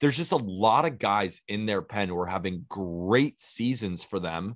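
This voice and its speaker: Over a quiet background, a man with a plain, everyday voice talks at a moderate pace, the sound dry and close with no echo. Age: 20s. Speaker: baseball podcast host. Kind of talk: casual chat.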